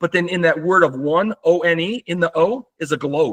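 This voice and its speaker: A man's high-pitched voice in a bright, sharp tone, with ordinary pitch variation, sounds dry and close with no echo. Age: 60s. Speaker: nonprofit foundation founder. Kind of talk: casual conversation.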